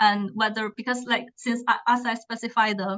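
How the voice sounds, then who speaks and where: This woman has a non-native accent and a fairly high pitch. Her intonation stays flat and monotone. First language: not English. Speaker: PhD student presenter. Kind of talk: academic seminar presentation.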